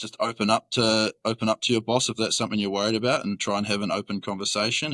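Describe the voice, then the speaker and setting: In a New Zealand accent, a man talks at a fairly quick pace and medium pitch with a bright, sharp tone, in a very clean recording with a silent background and a dry, close sound with no echo. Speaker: roofing worker. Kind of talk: casual chat.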